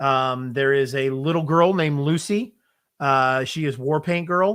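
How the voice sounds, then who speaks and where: This man has a fairly high pitch, with ordinary variation and a bright, sharp tone. He speaks loudly at a fairly slow pace on a very clean recording with a silent background. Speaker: wrestling podcast co-host. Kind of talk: casual chat. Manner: hesitant, many fillers.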